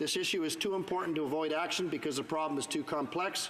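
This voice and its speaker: A high-pitched man speaks at a fairly quick pace over noticeable background noise. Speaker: Member of Parliament giving a speech in the House of Commons. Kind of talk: parliamentary floor speech / debate.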